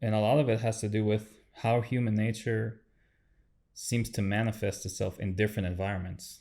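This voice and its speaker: In a non-native accent, a man speaks at a moderate pace with fairly low pitch and a dark, mellow tone. His intonation stays flat and monotone in a very clean recording with a silent background. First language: not English. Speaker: podcast host. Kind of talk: interview conversation. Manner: halting, many fillers.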